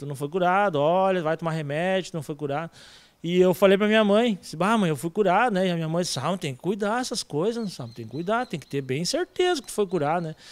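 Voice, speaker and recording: Lively intonation marks this man's high-pitched voice, which moves at a fairly quick pace. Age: 30s. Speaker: church member; interviewee. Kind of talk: testimony. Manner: halting. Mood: earnest, religious fervor. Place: hall. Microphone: handheld.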